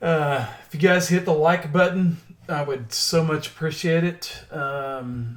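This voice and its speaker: A man speaks in a Southern accent. His pitch is fairly high, with ordinary variation. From Oklahoma. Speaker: stock trader and crypto chart analyst. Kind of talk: casual livestream chat.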